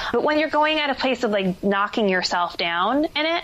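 Very wide pitch swings from a woman with an American accent. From New Jersey. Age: 20s. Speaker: actor and life coach. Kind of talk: podcast interview.

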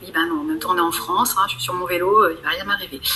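A woman talks with ordinary pitch variation. Noticeable background noise is present. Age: 40s. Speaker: trekker. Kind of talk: casual chat.

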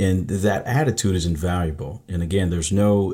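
On a very clean recording with a silent background, a man with an American accent speaks at a very fast pace in a very deep, low voice. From Michigan. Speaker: retired Marine sergeant major and entrepreneur. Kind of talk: interview.

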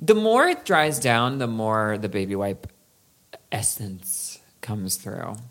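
Speaking at a very slow pace with long, frequent pauses, a woman has a very deep, low pitch, ordinary pitch variation and big swings in loudness. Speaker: podcast co-host. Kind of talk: casual chat.

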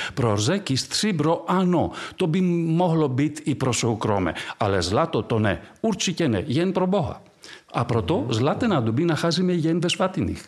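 With a Greek accent, a man speaks at a moderate pace and fairly high pitch, his pitch swinging very widely while his loudness stays very even. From Greece. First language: Greek (speaking Czech). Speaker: archaeologist. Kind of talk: casual interview.

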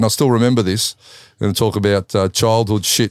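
Speaking at a fairly quick pace, a man with an Australian accent uses a medium pitch. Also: dry, close sound with no echo, very clean recording, silent background. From Australia, Melbourne. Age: 50s. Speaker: Muay Thai kickboxer and fight commentator. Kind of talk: casual interview.

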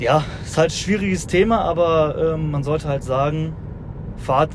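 Fairly slow speech from a man with a fairly high-pitched voice and ordinary pitch variation, with audible room echo and noticeable background noise. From Rhineland, near Düsseldorf. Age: 20s. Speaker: haulage business owner. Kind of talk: casual chat. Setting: in a moving electric car.

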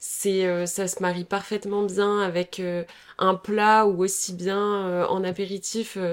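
Here a woman speaks at a very slow pace. Her intonation stays monotone and flat. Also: medium pitch for a woman. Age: 20s. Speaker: young entrepreneur, company co-founder. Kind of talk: casual interview.

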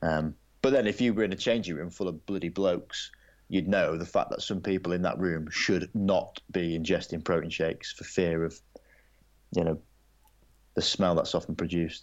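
A man with an English accent speaks with a very deep, low pitch. His intonation is fairly even and his pace moderate. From England. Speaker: former rugby sevens player and broadcaster. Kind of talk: casual interview.

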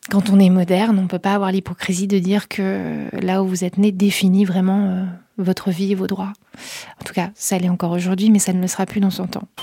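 A woman's somewhat breathy, dark, mellow voice at medium pitch, fairly quick and monotone with flat intonation, in a very clean recording with a silent background. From northern France, near Calais / Boulogne-sur-Mer. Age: 30s. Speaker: social entrepreneur, head of a refugee-support nonprofit. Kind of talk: interview.

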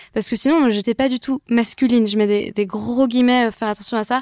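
The sound is dry and close, with no echo. A woman speaks fairly quickly at a high pitch with fairly even intonation. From western France (Brittany and Vendée). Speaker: singer-songwriter. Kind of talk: casual chat.

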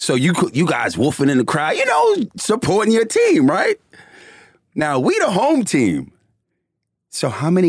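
At a fairly slow pace, a man with a Bronx accent speaks in an animated tone. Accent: New York, Bronx. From New York City, the Bronx. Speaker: former professional basketball player and commentator. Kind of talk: casual interview.

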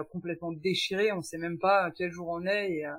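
Here is a woman with a fairly low pitch and fairly even intonation. She has an ordinary speaking voice. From France. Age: 40s. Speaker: guest sharing perinatal loss story. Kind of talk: testimony.

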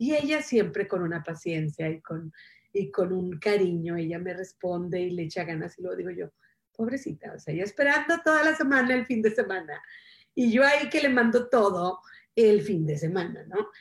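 A woman speaks at a moderate pace in a medium-pitched, somewhat breathy voice, her pitch swinging very widely. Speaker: self-help show host. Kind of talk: casual motivational talk on live stream. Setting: Facebook Live stream.

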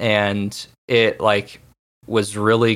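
The recording of this man with an American accent is very clean, with a silent background. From small-town Texas. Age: 20s. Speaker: musician. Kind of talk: interview. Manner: casual, hesitant with fillers.

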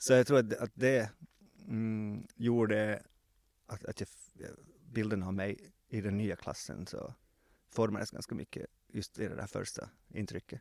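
A man speaks at a fairly slow pace in a fairly low voice, with big swings in loudness, fairly even intonation, long, frequent pauses, and a dry, close sound with no echo. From Finland, Swedish-speaking Ostrobothnia (Vasa). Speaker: former journalist, now PR consultant. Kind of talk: casual interview. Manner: halting, many fillers and repetitions.

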